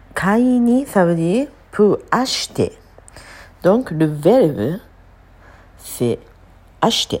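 This woman talks at a very slow pace. Her pitch swings very widely. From Japan. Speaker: Japanese language teacher. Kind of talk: language lesson.

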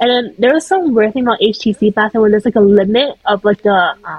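The speaker has a Canadian accent and lively intonation. The voice is somewhat breathy, with a dry, close sound and no echo. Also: woman. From Vancouver, Canada (early childhood in Taiwan). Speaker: podcast co-host. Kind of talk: casual chat.

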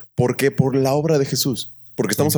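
A man talks at a fairly quick pace in a normal speaking voice of medium pitch. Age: 20s. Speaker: worship team member. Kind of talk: casual chat.

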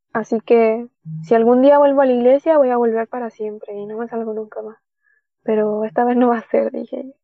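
Speaking at a fairly quick pace, a woman has a normal speaking voice pitched fairly high. Her intonation stays fairly even while her loudness swings widely. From Chile, Caldera (Atacama region). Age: 20s. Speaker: worship leader and theology student. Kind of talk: testimony.

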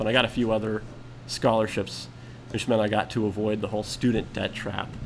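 A man with an American accent talks at a moderate pace at a medium pitch in an ordinary speaking voice. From US South, Atlanta area. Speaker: podcast guest, co-worker of host. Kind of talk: casual chat.

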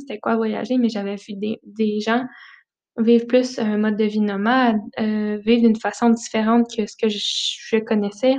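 A woman in a Quebec accent, monotone and flat in intonation, at a moderate pace over a quiet background. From Quebec, Centre-du-Québec village. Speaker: travel podcast host. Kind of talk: casual monologue.

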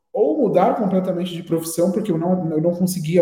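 A man with a dark, mellow tone talks at a fairly quick pace amid audible room echo. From Brazil, Guarulhos (São Paulo area). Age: 20s. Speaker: advertising professional and agency founder. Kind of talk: interview.

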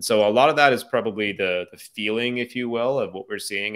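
The recording is very clean, with a silent background. A man with an unremarkable speaking voice talks at a fairly quick pace with ordinary pitch variation. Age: 30s. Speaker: marketing agency CEO. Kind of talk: casual chat.

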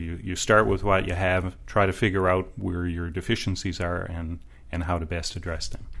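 A man with a Newfoundland accent, a very deep, low pitch, fairly even intonation and a moderate pace. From Newfoundland, St. John's. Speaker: municipal planner. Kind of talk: interview conversation.

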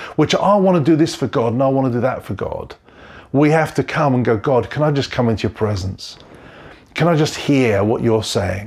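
Racing along at a very fast pace, a man speaks with very wide pitch swings. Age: 40s. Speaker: pastor. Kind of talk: sermon.

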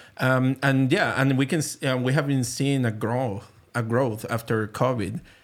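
A man with a Venezuelan accent talks at a moderate pace and a medium pitch, with fairly even intonation. His loudness stays very even on a very clean recording with a silent background. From Venezuela, Caracas. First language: Spanish. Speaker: printmaker and art professor. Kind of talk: casual interview. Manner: halting.

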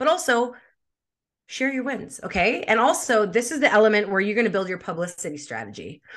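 With a Canadian accent, a woman speaks at a fairly quick pace, her pitch swinging very widely. There is vocal fry in her voice, and the background is quiet. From Canada, Winnipeg. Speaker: social media marketing expert. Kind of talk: interview.

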